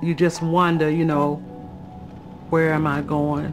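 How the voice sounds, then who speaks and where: With music in the background, a woman with a very deep, low pitch speaks at a very slow pace and fairly even intonation. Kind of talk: interview answer.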